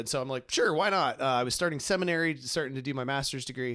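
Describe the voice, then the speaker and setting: Speaking with a US Midwestern accent, a man has a fairly high pitch and ordinary pitch variation. The recording is very clean, with a silent background. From Ohio, US Midwest. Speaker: podcast host, grief ministry director. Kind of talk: casual conversation. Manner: fast; many fillers and repetitions.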